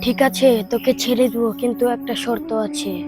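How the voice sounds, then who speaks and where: Over loud music in the background, a female-sounding put-on character voice speaks with a high pitch. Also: moderate pace. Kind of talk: village horror drama. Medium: voice reel. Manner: menacing, commanding.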